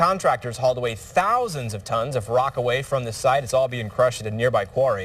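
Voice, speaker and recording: Here a man with a plain, everyday voice talks fairly quickly at a fairly high pitch, his intonation lively. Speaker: TV news anchor and reporter. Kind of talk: TV news anchor read.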